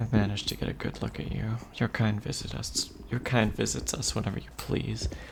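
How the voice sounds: Fairly even intonation runs through this natural reading voice.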